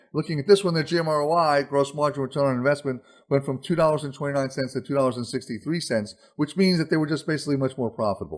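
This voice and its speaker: Against a quiet background, a man with a fairly high pitch talks at a very fast pace. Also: ordinary pitch variation. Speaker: retail consultant presenter. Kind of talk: webinar presentation. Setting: webinar. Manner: animated.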